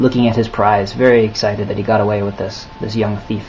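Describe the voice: The speaker does plain reading aloud. Intonation remains fairly even throughout.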